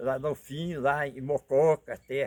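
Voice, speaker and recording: Close and dry with no echo at all, a man's voice is heard. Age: 80s+. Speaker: retired cattle drover and ox-cart driver. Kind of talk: life story interview.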